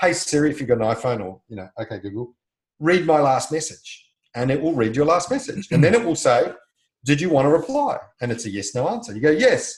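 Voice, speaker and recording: A man talks at a fairly quick pace and fairly high pitch, showing vocal fry, very wide pitch swings and big swings in loudness. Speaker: podcast co-host. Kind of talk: casual chat.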